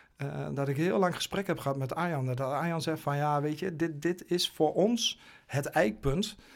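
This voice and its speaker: A man's fairly high voice with ordinary pitch variation at a moderate pace, on a very clean recording with a silent background. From Twente, eastern Netherlands. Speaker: goalkeeping coach. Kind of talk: interview conversation. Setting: studio. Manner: halting, many fillers.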